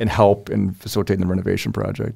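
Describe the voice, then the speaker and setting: With an Upper Midwest accent, a man speaks at a very deep, low pitch with fairly even intonation on a very clean recording with a silent background. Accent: Upper Midwest American. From US Midwest, Wisconsin (Oshkosh). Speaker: lawyer and business owner. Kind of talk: interview. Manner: halting, many fillers.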